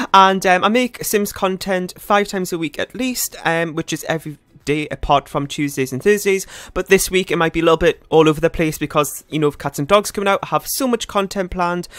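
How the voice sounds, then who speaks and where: A man talks at a very fast pace with music in the background and a dry, close sound with no echo. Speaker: gaming youtuber. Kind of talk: casual gameplay commentary.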